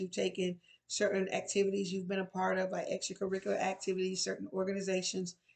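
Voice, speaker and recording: At a fairly quick pace, a woman with a medium pitch talks in monotone, flat intonation. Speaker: resource and employability coach. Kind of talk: tutorial. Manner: fast.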